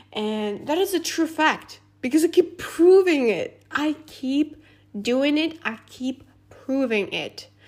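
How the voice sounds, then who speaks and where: A woman with a non-native accent and lively intonation, in a very clean recording with a silent background. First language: not English. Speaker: podcast host. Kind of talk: solo casual monologue. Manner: giggly, many fillers.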